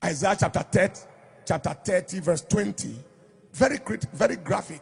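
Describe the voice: A husky, rough-edged voice with vocal fry speaks at a moderate pace with ordinary pitch variation. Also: man, high pitch for a man.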